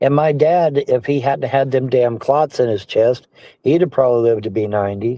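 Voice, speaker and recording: At a moderate pace, a man talks in a plain, everyday voice of medium pitch with ordinary pitch variation. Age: 60s. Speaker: livestream personality. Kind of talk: casual chat.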